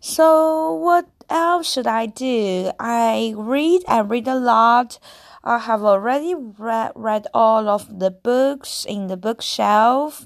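Captured in a very clean recording with a silent background, a woman with a fairly high voice speaks at a very slow pace. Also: lively intonation. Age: adult. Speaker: solo podcaster. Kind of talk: personal storytelling monologue. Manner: halting, with frequent restarts.

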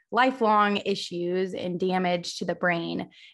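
Over a quiet background, a woman uses an ordinary speaking voice. Her pitch is medium and her intonation fairly even. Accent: American. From US Midwest, Missouri. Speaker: audiologist. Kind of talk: interview.

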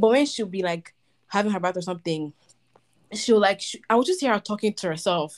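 A woman talks at a fairly quick pace in a plain, everyday voice, medium-pitched with ordinary pitch variation. The recording is very clean with a silent background. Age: 20s. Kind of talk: casual chat.

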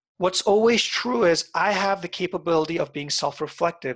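Lively intonation marks this man's high-pitched speech in an Iranian accent, delivered at a fairly quick pace over a quiet background. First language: Farsi. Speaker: life coach and author. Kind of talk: casual interview. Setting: call.

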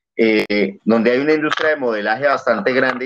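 A man speaks at a medium pitch. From Bogotá, Colombia. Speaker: guest from Colombia. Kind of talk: casual chat.

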